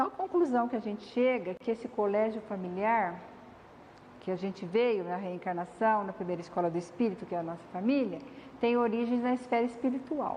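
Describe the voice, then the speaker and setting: Her voice carrying audible room echo, a woman speaks at a fairly quick pace in a fairly high pitch with ordinary pitch variation. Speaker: spiritist lecturer. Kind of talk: lecture. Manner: soft-spoken.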